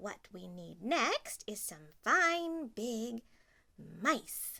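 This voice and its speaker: In a put-on character voice, a woman speaks at a very slow pace with a fairly high pitch. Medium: read story. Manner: warm, bustling.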